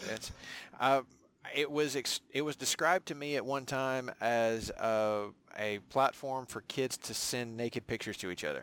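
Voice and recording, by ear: A man's medium-pitched voice at a fairly slow pace, clear, smooth and fairly bright in tone, with ordinary pitch variation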